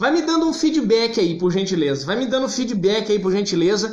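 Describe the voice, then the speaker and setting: Talking at a very fast pace, a man speaks loudly with audible room echo around him. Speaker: therapist / psychology teacher. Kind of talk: live-stream talk to viewers. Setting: live stream on Instagram. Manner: loud, emphatic.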